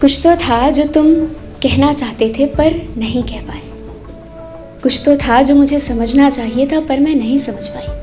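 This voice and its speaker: With music in the background, a woman speaks in a high pitch with fairly even intonation and long, frequent pauses. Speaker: spoken word poet. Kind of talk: spoken word poetry performance at open mic. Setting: live open mic stage. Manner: emotional, full of conviction.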